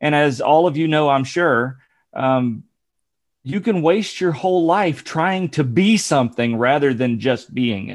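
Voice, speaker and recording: A normal speaking voice from a man, fairly high-pitched, with lively intonation, a fairly slow pace and a quiet background. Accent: American. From Ohio, near Dayton. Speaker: podcaster and former pastor. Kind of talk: casual interview, personal testimony.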